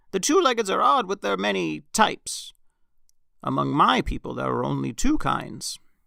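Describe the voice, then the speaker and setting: Speaking at a moderate pace, a man puts on a character voice. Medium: read story. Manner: smug, preachy.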